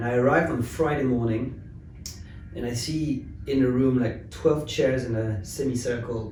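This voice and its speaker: There is audible room echo and noticeable background noise as a man speaks at medium pitch and a moderate pace with fairly even intonation. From France, Paris. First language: French. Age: 30s. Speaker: tech company founder. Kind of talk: interview.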